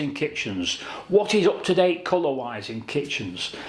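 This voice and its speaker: A man with a British accent is heard over noticeable background noise. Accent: British regional accent, noticeable. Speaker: kitchen designer. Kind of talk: tutorial. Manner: conversational, measured.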